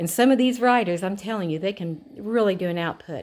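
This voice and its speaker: A plain, everyday voice from a woman at medium pitch and moderate pace with ordinary pitch variation, on a very clean recording with a silent background. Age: 60s. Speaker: vlogger reviewing exercise bike. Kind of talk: casual product demo. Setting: at home. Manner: casual, chatty.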